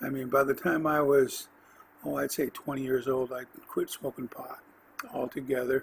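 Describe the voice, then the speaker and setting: Speaking in an American accent, a man keeps a medium pitch and fairly even intonation. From California, US. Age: 60s. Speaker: podcast host. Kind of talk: autobiographical monologue. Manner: halting, many fillers.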